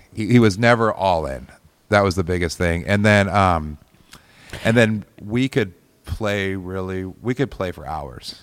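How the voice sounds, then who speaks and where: A man with an American accent speaks at a fairly slow pace in a very deep, low voice. His loudness swings widely, while his pitch varies in an ordinary way. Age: 40s. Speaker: musician. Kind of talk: casual chat.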